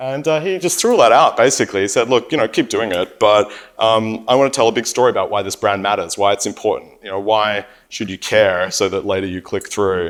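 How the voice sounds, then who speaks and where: Recorded very cleanly against a silent background, a man with an Australian accent talks at a fairly quick pace. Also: medium pitch for a man, ordinary pitch variation. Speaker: company CEO and panel moderator. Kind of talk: conference panel talk. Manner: repeats words, frequent fillers.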